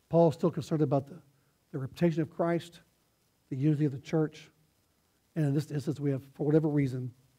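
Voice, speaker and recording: Pausing long and often yet talking at a very fast pace, a man with a fairly high pitch speaks in a dark, mellow, somewhat breathy tone with fairly even intonation. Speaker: pastor. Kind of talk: sermon. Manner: halting, many restarts. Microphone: quiet, hard to hear.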